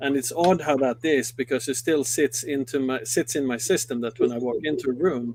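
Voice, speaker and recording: A man with a Swedish accent, fairly quick and fairly even in intonation, with hardly any pauses. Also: medium pitch for a man. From Sweden. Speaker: company executive. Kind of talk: interview. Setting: studio.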